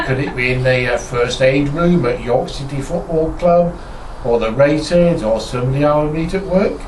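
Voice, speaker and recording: Amid noticeable background noise and audible room echo, a man with a northern English accent speaks at a moderate pace with very wide pitch swings. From northern England, Lincolnshire. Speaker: ministry co-founder. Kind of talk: casual introduction to camera.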